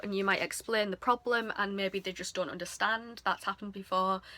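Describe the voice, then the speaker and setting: At a moderate pace, a woman with an English accent speaks over noticeable background noise. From England. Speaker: couponing YouTuber. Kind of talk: tutorial. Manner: casual, hesitant with frequent ums.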